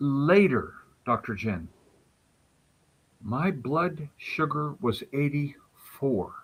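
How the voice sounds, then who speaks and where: A man speaking very slowly, somewhat breathy, with very wide pitch swings and long, frequent pauses. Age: 60s. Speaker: health advocate, neuropathy patient. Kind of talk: interview conversation. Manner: animated.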